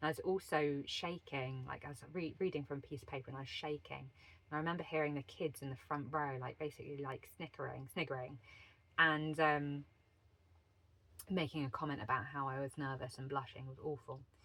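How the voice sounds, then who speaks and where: Fairly quick and fairly even in intonation, a woman with a southern English accent speaks in a very deep, low pitch. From England, Wiltshire. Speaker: leadership and life coach. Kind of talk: personal storytelling monologue. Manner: stumbles over words.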